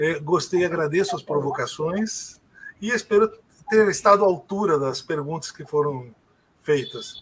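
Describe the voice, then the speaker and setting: A man with a high-pitched voice speaks at a fairly slow pace, with ordinary pitch variation and big swings in loudness. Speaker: sociologist and political scientist. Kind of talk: interview.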